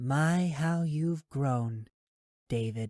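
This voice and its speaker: A man's put-on character voice, fairly high-pitched, recorded dry and close with no echo. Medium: read story. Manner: calm, composed.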